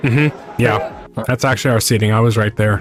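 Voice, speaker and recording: Music plays in the background. A man talks at a moderate pace with ordinary pitch variation. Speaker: VTuber streamer. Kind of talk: casual stream talk about a concert.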